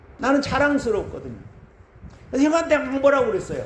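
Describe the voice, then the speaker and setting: Noticeable background noise and audible room echo around a man's voice. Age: 60s. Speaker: pastor. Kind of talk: sermon.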